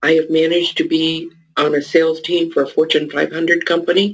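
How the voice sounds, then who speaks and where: In an American accent, a woman speaks with a very deep, low pitch. Her pace is moderate and her intonation monotone and flat. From Northern California, Mendocino. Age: 70s. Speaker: business coach and author. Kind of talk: interview.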